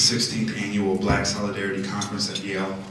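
A man speaks at a fairly quick pace over light background noise. The room echo is audible. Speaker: preacher giving an invocation. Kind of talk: opening prayer. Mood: solemn, reverent. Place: hall.

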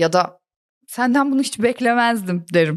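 A woman with a fairly high pitch and lively intonation has an unremarkable speaking voice. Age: 40s. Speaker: comedian. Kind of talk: casual chat; scripted narration.

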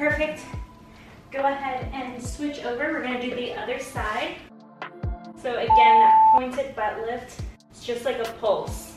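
Fairly slow speech with long, frequent pauses and big swings in loudness, in a room with audible echo and clear music in the background. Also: woman, high pitch for a woman. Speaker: fitness instructor. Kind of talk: workout instructions. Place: home room.

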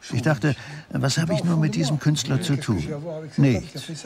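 Noticeable background noise sits under this recording. A man talks at a moderate pace with lively intonation. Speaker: voice-over translator for the painter. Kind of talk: interview answer. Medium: dub.

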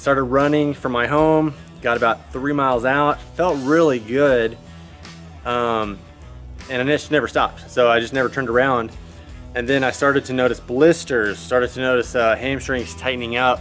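A man's voice shows ordinary pitch movement and an unhurried, moderate tempo, with faint music behind it. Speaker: health vlogger. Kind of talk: casual vlog chat. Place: garden.

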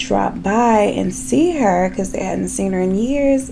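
A woman's voice over light background noise. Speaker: beauty vlogger. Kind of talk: casual storytime chat while doing makeup. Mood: chatty, animated storytelling. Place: home room.

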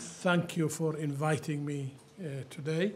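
A man with a fairly high voice speaks in monotone, flat intonation over light background noise. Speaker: global health professor; panelist. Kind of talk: conference talk. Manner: halting. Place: hall. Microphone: podium.

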